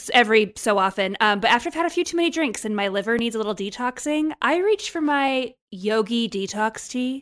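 Against a silent background on a very clean recording, a woman speaks at a moderate pace in a high, enthusiastic voice with very wide pitch swings. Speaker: podcast guest, co-host of another show. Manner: chatty, enthusiastic.

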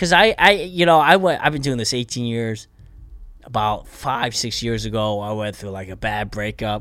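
A man at a moderate pace and medium pitch, with a bright, sharp tone, lively intonation and big swings in loudness. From Pennsylvania, US (Bethlehem). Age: 40s. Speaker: stand-up comedian. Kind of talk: casual chat.

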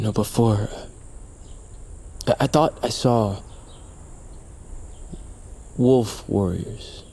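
In a put-on character voice, a man speaks very slowly with long, frequent pauses, his fairly low, dark, mellow tone carrying vocal fry and ordinary pitch variation.

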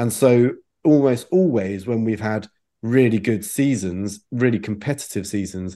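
At a moderate pace, a man with a fairly low pitch speaks in a dark, mellow tone over a quiet background. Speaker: motorsport journalist. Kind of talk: casual podcast chat.

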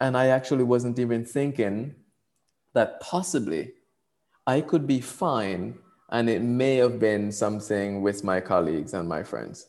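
At a fairly slow pace, a man with a Jamaican accent speaks at medium pitch with lively intonation. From Jamaica (Portland parish). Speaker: coach and educator. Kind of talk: casual chat. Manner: animated, laughs often.

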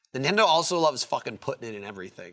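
There is vocal fry in this man's fairly high voice. His pitch swings very widely. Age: 30s. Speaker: podcast co-host. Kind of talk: casual chat. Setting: studio.

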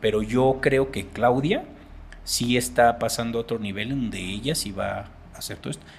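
The speaker is a man with a medium pitch. There is some breathiness to his voice. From Mexico. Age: 40s. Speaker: paranormal researcher. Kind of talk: casual chat.

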